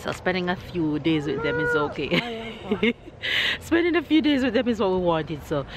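A woman talks at a fairly quick pace with very wide pitch swings, her voice dry with no echo over noticeable background noise. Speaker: family vlogger. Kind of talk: casual vlog chat. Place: street. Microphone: phone near.

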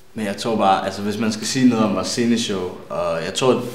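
Audible room echo around a man speaking. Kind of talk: interview answer. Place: studio.

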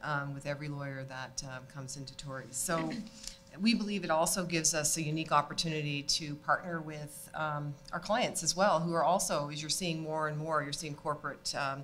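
A woman talks at a fairly quick pace in a very deep, low pitch. Her intonation is fairly even, with light background noise. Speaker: panellist. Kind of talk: panel discussion remarks. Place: hall. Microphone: studio mic.

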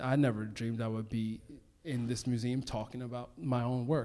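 This is a man with an American accent. Light background noise can be heard. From Baltimore, Maryland, US. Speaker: plant stylist and author; guest. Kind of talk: on-stage conversation. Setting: stage with audience. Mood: warm, relaxed, reflective. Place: stage. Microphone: handheld.

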